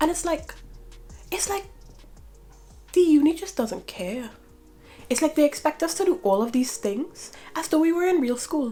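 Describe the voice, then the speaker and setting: Over music in the background, a woman with a high pitch speaks in an animated tone at a moderate pace, her very wide pitch swings set between long, frequent pauses. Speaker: university student vlogger. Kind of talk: casual vlog rant.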